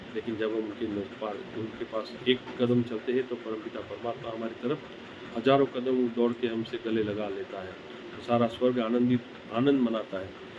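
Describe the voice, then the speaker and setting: Behind speech with fairly even intonation, noticeable background noise can be heard. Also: man, medium pitch for a man. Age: 60s. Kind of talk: sermon. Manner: halting.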